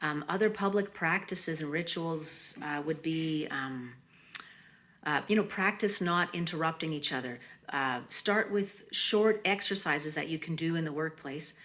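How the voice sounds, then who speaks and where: Her pitch fairly low for a woman, she speaks in an unremarkable speaking voice at a moderate pace with ordinary pitch variation. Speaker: mindfulness presenter. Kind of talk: conference presentation.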